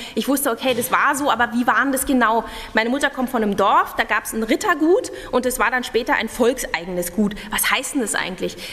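A woman talks at a fairly quick pace with hardly any pauses. Her voice is high, with ordinary pitch variation. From East Germany. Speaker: radio journalist; conference presenter. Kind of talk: conference talk. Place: hall. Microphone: podium.

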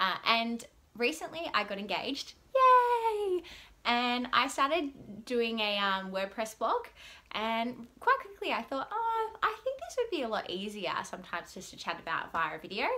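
A woman talks at a fairly slow pace. Her loudness swings a lot. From Melbourne, Australia. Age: 20s. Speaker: vlogger. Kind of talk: casual vlog monologue to camera. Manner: rambling, chatty; upbeat, excitable. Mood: cheerful, laughing often. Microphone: phone near.

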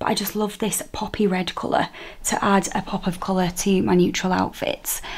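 A woman speaks with a northern English accent. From northern England. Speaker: fashion vlogger. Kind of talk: casual vlog. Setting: at home, on video. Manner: chatty, friendly. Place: home room. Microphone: phone near.

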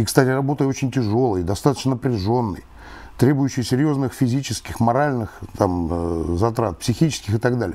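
Medium in pitch, this man's voice has a dark, mellow tone. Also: lively intonation, moderate pace. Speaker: retired colonel. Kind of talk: interview. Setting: studio. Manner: formal. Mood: calm, earnest argument. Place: studio. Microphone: lapel.

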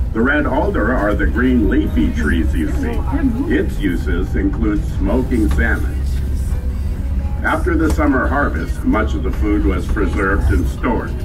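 Clear music plays behind a man with a very deep, low voice. His pitch variation is ordinary and his loudness very even. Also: fairly slow pace. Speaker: tram tour narrator. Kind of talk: tour guide commentary.

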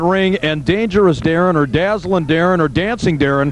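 A man speaks at a high pitch in an excited tone, with ordinary pitch variation. Noticeable background noise is present. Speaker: pro wrestling commentator. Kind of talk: live wrestling match commentary. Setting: local arena show, late 1990s recording. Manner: excited, showman-like, jokey.

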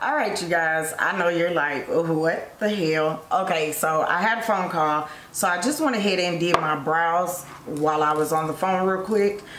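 The loudness stays very even throughout, with audible room echo in the recording. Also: woman. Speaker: beauty vlogger. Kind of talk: tutorial. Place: home room.

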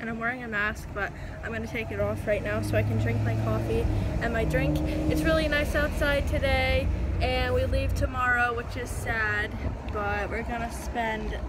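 A woman speaks at a moderate pace. The sound is dry with no echo, though loud background noise is present. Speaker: vlogger. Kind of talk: casual vlog chat. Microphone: phone near.

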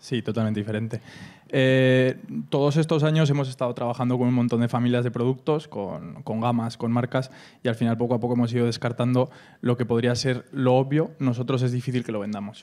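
A man's medium-pitched voice with a dark, mellow tone, fairly even intonation and a fairly quick pace. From Aragon, Calatayud area; Aragon. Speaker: family business owner, online agricultural supply shop; panelist. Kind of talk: panel discussion. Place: hall. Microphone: handheld.

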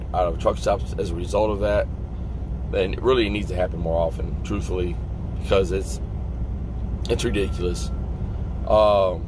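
A man speaks in a very deep, low voice. Background noise is noticeable. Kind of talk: casual vlog rant. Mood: annoyed, frustrated. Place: car. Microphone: phone near.

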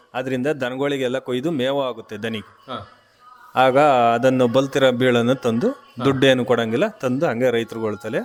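Through noticeable background noise, a man at a medium pitch speaks with fairly even intonation. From Karnataka, Arkalgud taluk, Hassan district. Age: 40s. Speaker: farmer. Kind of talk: radio interview.

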